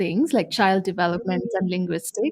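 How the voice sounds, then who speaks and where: Lively intonation at a moderate pace, with a Tamil accent. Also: woman. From India. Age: young. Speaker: expectant mother. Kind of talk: interview.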